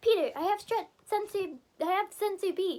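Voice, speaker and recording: A squeaky, put-on character voice moves along at a moderate pace. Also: woman. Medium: read story.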